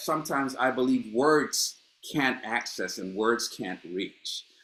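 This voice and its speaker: Lively intonation marks this man's medium-pitched voice. He talks at a fairly slow pace. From Honduras, moved to Los Angeles at 13. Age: 60s. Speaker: playwright. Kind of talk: panel discussion. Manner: animated, repeats words.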